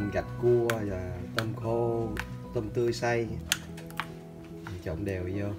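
Clear music plays in the background while the speech goes at a very slow pace with long, frequent pauses. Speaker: home cook. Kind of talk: cooking video narration. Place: kitchen. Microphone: phone near.

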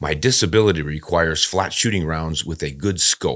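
At a moderate pace, a man speaks with a very deep, low pitch and ordinary pitch variation against a quiet background. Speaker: podcast host. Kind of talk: podcast reading and commentary. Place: studio. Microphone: studio mic.

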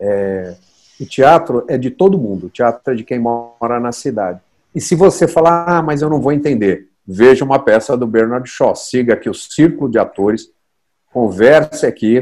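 At a moderate pace, a man speaks with lively intonation and long, frequent pauses. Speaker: stage actor guest. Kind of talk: interview answer, storytelling. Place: home room. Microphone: earbuds.

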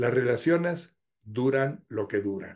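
A man with a Mexican accent and a fairly high pitch, against a quiet background. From Mexico. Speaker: YouTuber. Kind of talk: humorous monologue. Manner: animated. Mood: humorous, warm. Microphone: webcam.

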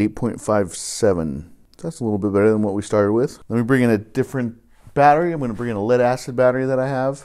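Talking at a very fast pace, a man has a dark, mellow tone and ordinary pitch variation. The background is quiet. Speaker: DIY car repair channel host. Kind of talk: tutorial. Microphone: phone near.

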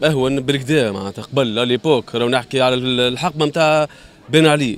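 With a dry sound and no echo, a man talks at a moderate pace, his pitch varying in an ordinary way. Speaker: interviewee. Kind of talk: interview answer. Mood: critical, complaining about prices. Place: market. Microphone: handheld.

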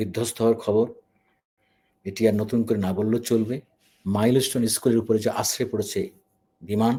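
A man talks at a medium pitch in a dark, mellow tone. His intonation is monotone and flat. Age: 50s. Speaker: YouTube news commentator. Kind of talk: emotional news commentary. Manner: halting.

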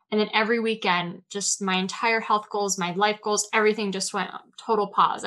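A woman talks at a fairly quick pace. Her tone is bright and sharp, her intonation fairly even. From Southern California, Orange County; California. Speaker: alcohol-free life coach; podcast guest. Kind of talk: interview conversation. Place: home room. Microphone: video call.

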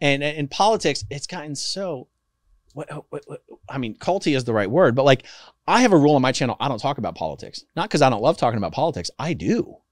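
A man's fairly high, very fast voice with an American accent, vocal fry and very wide pitch swings, over a quiet background. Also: big swings in loudness, dry sound with no echo. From United States. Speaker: former cult member turned activist and YouTuber; YouTuber. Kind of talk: casual interview. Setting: studio with microphone. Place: studio. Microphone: studio mic.

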